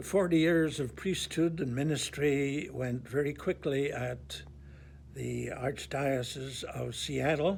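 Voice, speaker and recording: Speaking at a very slow pace, a man talks with a Northern Irish accent. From Northern Ireland, Belfast. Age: 80s+. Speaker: priest. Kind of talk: testimony.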